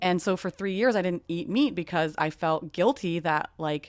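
Heard in a plain, everyday voice, a woman speaks at a fairly low pitch with ordinary pitch variation. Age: 30s. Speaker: podcast co-host. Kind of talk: casual chat. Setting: video call.

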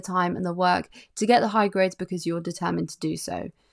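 A woman with an English accent at a fairly quick pace. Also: very clean recording, silent background. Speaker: podcast host. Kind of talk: casual monologue; reading aloud.

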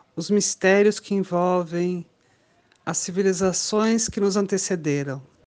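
A woman speaking at a very slow pace. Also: quiet background. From Brasília, Brazil. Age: 50s. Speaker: podcast co-host, traveler. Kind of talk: casual chat.

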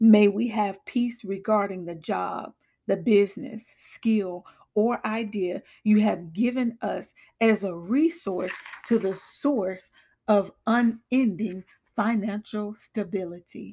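Very slowly, a woman speaks at a medium pitch with a dark, mellow tone and ordinary pitch variation. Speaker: prayer podcaster. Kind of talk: fervent prayer, led aloud for listeners. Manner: earnest, devout, solemn.

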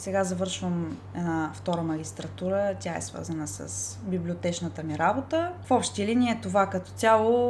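A moderate pace with hardly any pauses, over music in the background. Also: woman. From Bulgaria, Ruse. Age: 20s. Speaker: librarian. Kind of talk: interview.

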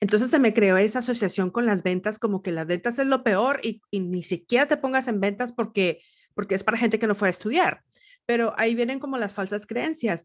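A woman talks at a fairly quick pace in a plain, everyday voice, with ordinary pitch variation over a quiet background. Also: fairly high pitch for a woman. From northern Mexico, Nuevo León. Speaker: podcast host. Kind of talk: interview.

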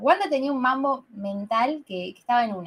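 Very wide pitch swings in a woman's high voice. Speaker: podcast co-host. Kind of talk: casual chat.

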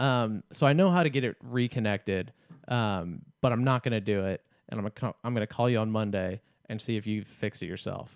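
Fairly quick and fairly low-pitched, a man talks in a normal speaking voice with ordinary pitch variation, the sound dry and close with no echo and the recording very clean over a silent background. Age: 20s. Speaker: comedy podcast co-host. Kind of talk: casual chat.

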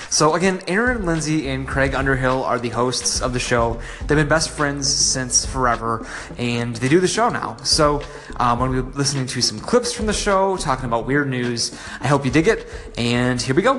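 Over noticeable background noise, a man of medium pitch talks at a moderate pace with ordinary pitch variation. His tone is upbeat. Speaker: podcast host. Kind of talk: podcast intro and interview. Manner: casual, friendly, upbeat.

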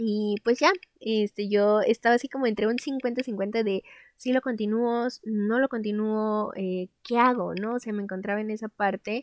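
Fairly high-pitched woman at a fairly slow pace, in a dry, close sound with no echo and a quiet background. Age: 20s. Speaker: podcast host. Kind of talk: casual monologue. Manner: animated.

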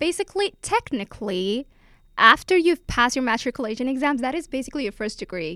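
A woman uses a raised, projected voice with a bright, sharp tone, high pitch and very wide pitch swings at a very fast pace. The sound is dry and close with no echo, in a very clean recording with a silent background. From Finland; Helsinki, Finland. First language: Finnish. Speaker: college student. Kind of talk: casual chat.

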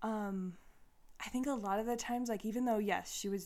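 A woman uses a normal speaking voice at medium pitch, with ordinary pitch variation. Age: 30s. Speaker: spiritual podcast host, tarot reader. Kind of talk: casual solo monologue. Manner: casual, filler-heavy.

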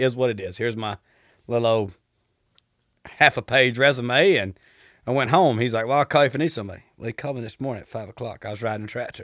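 A man with a Southern accent speaks at a medium pitch with ordinary pitch variation, at a very fast pace broken by long, frequent pauses. The recording is very clean with a silent background and a dry, close sound with no echo. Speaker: oil field worker, former farmer. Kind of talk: casual interview chat.

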